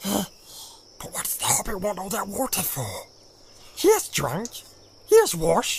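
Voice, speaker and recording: In a put-on character voice, a man speaks fairly slowly at a high, shrill pitch, with hissing on the audio. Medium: read story. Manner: speaks of himself in third person, repeats words.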